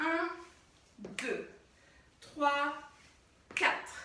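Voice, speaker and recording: Over noticeable background noise and audible room echo, a woman uses a raised, projected voice at a high pitch. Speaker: dance teacher. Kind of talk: tutorial.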